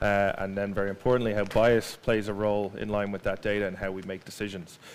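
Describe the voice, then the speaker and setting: With an Irish accent, a man talks at a very fast pace in a fairly low pitch. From Ireland. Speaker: marketing executive giving a talk. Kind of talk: conference presentation. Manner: casual with many fillers.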